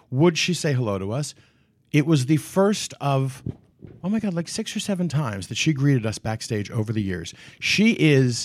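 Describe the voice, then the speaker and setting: At a moderate pace, the speaker uses an American accent with very wide pitch swings, in a very clean recording with a silent background. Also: man, fairly high pitch for a man. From Washington D.C. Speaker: Broadway actor. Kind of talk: casual interview chat. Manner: animated, frequent laughter.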